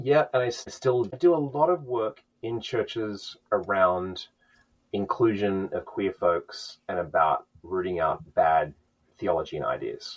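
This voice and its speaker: At a fairly slow pace, a man is talking. He has an Australian accent. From Australia (Sydney). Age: 40s. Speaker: musician and church music director. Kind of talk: podcast interview.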